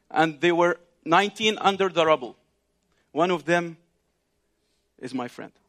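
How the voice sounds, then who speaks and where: Speaking in an Arabic accent, a man uses a high pitch with ordinary variation. He moves at a moderate pace with long, frequent pauses. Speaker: visiting preacher, ministry leader. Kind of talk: sermon. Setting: congregation in synagogue, live. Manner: halting, with frequent fillers.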